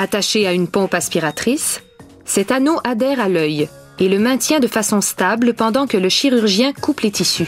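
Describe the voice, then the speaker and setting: Over music in the background, a woman talks at a fairly slow pace with lively intonation. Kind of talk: documentary narration.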